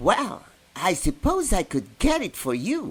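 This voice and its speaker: In a put-on character voice, a man speaks at a high pitch and a fairly slow pace, with very wide pitch swings. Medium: read story. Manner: gentle, friendly.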